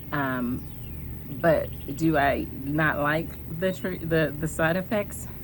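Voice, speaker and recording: A soft-spoken woman with audible room echo. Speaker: cancer survivor vlogger. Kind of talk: personal vlog. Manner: soft-spoken, hesitant with many ums.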